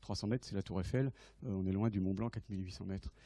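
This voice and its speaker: A man speaks in a dark, mellow tone with ordinary pitch variation. The sound is dry, with no echo. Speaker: invited naval lecturer. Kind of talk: lecture. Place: hall.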